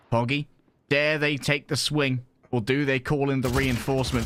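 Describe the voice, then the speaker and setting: With music in the background, a man at a fairly high pitch talks at a moderate pace. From England. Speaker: esports commentator. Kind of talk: live commentary. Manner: animated.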